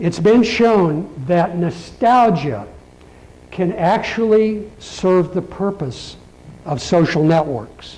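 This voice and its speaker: A man's high-pitched voice with lively intonation at a very slow pace, in audible room echo. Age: 60s. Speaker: keynote speaker. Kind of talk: keynote speech.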